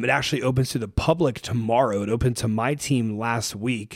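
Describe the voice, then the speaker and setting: A man with an unremarkable speaking voice talks at a moderate pace, with a medium pitch and ordinary pitch variation. The recording is very clean with a silent background. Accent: American. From Ohio, US Midwest. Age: 20s. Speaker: fitness coach and entrepreneur. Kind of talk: casual interview. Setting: studio, in person.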